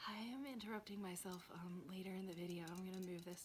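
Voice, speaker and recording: A fairly quick pace over noticeable background noise. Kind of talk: ASMR whisper ramble. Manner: whispered; casual, rambling.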